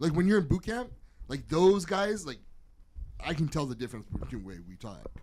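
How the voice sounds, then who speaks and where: A fairly high-pitched man's voice with vocal fry, very wide pitch swings and big swings in loudness, moving at a fairly quick pace broken by long, frequent pauses. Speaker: podcast host; military veteran. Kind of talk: casual chat.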